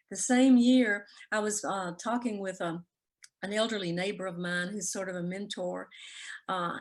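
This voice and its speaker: A woman speaks with a Southern US accent. Her pitch variation is ordinary. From Mississippi (Jackson). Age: 70s. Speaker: author. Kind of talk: interview.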